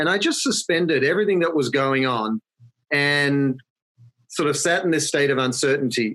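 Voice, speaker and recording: A man's fairly high, bright, sharp voice in an Australian accent, at a moderate pace with ordinary pitch variation and very even loudness. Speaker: marketing consultancy founder. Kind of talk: podcast interview. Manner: conversational.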